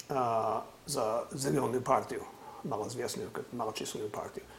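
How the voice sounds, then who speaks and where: A man talks at a moderate pace in an American accent. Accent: American-accented Russian, non-native errors. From US California. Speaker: political analyst. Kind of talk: interview discussion on politics.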